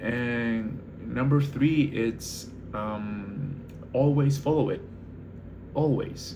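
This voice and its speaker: Audible room echo surrounds a man speaking with a non-native accent and ordinary pitch variation. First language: not English. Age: 20s. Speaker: barista manager and vlogger. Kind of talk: casual monologue vlog. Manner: hesitant, many fillers.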